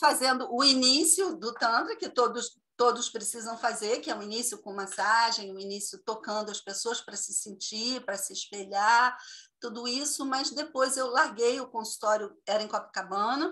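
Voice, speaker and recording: A woman's fairly high, bright, sharp voice with ordinary pitch variation, big swings in loudness and hardly any pauses. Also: moderate pace. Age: 60s. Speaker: tantra therapist. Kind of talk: casual video call interview.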